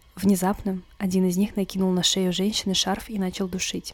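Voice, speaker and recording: The delivery is dramatic and fairly quick. Intonation stays monotone and flat. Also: woman. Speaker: podcast host, true crime storyteller. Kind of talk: true-crime narration. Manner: grave, suspenseful storytelling with dramatic pauses and rhetorical questions; measured, dry, matter-of-fact reporting of police case facts.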